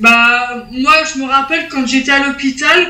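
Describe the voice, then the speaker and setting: In a room with audible echo and noticeable background noise, a woman projects a raised, high voice at a very slow pace with fairly even intonation. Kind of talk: casual chat.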